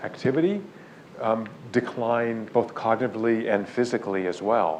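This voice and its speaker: In a room with audible echo and noticeable background noise, a man talks at a medium pitch. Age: 60s. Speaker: neuroscientist. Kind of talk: lecture. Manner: animated.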